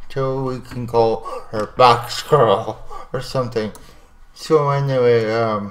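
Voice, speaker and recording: A man mumbling at a very slow pace, with big swings in loudness and noticeable background noise. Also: medium pitch for a man, fairly even intonation. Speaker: animation software tutorial creator. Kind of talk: tutorial.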